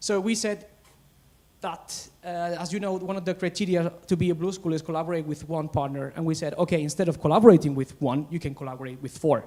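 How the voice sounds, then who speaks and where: Loud and very fast, a man speaks with a high pitch, a dark, mellow tone and ordinary pitch variation. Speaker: teacher presenting at education webinar. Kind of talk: conference presentation. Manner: halting, repetitive fillers.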